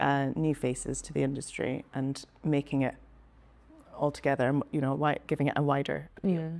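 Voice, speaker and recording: A woman with a Scottish accent, very deep and low in pitch, at a moderate pace with fairly even intonation. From Speyside, Scotland. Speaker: whisky senior account manager. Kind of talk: interview answer. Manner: casual, hesitant.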